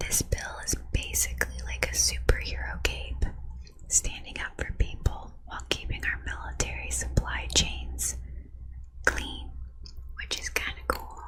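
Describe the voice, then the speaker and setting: Soft-spoken and whispering, the speaker goes at a fairly slow pace over noticeable background noise. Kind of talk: ASMR explainer of a congressional bill. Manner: whispered; soft, relaxing.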